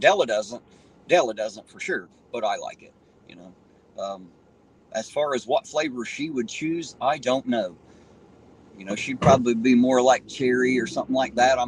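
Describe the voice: Pausing long and often, a man speaks at a moderate pace in a rural Southern US accent, his loudness swinging widely. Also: medium pitch for a man, ordinary pitch variation.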